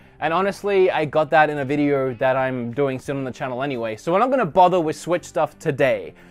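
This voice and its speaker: A very fast-talking man with an Australian accent, fairly high in pitch with ordinary pitch variation and hardly any pauses. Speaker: gaming YouTuber. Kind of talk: casual room tour vlog. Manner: casual, chatty.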